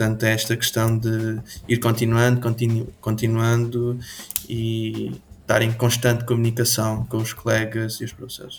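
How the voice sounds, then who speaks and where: This man has a medium pitch. His intonation stays monotone and flat. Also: moderate pace. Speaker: student game programmer. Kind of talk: interview.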